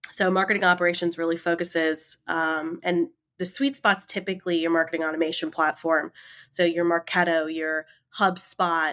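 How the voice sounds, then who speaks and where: A woman talks at a fairly low pitch with fairly even intonation. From Raleigh, North Carolina, US South. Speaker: marketing operations manager. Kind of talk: interview conversation. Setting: remote call.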